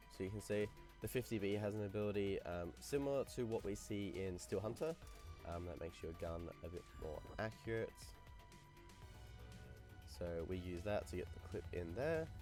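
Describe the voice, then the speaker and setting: A man at a moderate pace, with very wide pitch swings and long, frequent pauses, over background music. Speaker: gaming video creator. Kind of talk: gameplay commentary. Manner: casual.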